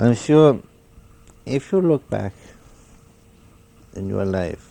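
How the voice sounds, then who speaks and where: A man's voice over noticeable background noise. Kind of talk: spiritual meditation talk. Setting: home cassette recording. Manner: slow, pondering.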